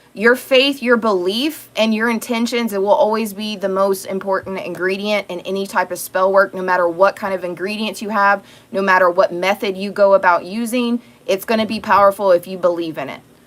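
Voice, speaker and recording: A woman speaks at medium pitch and a fairly quick pace, with hardly any pauses, ordinary pitch variation and big swings in loudness. Noticeable background noise runs under her voice. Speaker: tarot reader. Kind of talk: tarot reading livestream monologue. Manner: casual, conversational.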